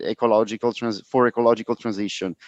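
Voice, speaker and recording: A Roman accent, monotone and flat in intonation, with a dry, close sound and no echo. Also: man. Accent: Italian (Roman). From Italy, Rome. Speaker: panel moderator. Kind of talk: conference moderation. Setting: live conference with audience. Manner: hesitant, many fillers.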